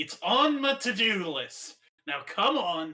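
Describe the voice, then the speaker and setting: A man performs a put-on character voice. He goes at a fairly slow pace. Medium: game stream. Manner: blunt, deadpan.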